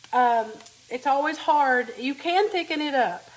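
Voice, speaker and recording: Speaking with an Appalachian accent, this woman has a high pitch, ordinary pitch variation and a fairly slow pace. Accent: Appalachian Southern American. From US South, Appalachian Kentucky (Letcher County). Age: 50s. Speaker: home cook, cooking channel host. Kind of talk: live cooking demonstration. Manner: casual, chatty.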